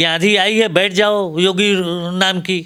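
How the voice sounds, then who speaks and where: A man uses a raised, projected voice at a high pitch, with a bright, sharp tone. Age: 70s. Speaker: professor. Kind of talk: interview. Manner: animated.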